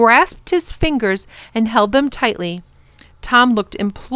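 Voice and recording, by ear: The voice reads a text aloud. It sounds natural throughout.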